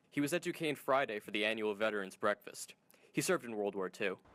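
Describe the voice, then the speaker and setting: A man speaks at a very fast pace. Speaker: student reporter. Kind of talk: TV news package narration.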